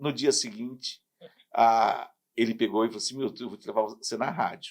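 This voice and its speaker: A man with a plain, everyday voice, moderate pace, ordinary pitch variation and big swings in loudness. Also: medium pitch for a man. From southern Brazil, Paraná. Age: 60s. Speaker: radio announcer and sports commentator. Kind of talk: casual interview chat.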